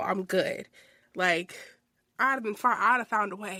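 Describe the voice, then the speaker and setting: On a very clean recording with a silent background, a woman with a medium pitch and a bright, sharp, animated tone talks at a fairly quick pace with ordinary pitch variation. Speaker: podcast host. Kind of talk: casual monologue.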